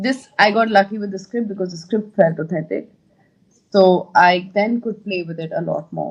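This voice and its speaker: A woman talks at a moderate pace with ordinary pitch variation. Her voice is somewhat breathy and shows big swings in loudness. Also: medium pitch for a woman. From India. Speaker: actor. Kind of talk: interview.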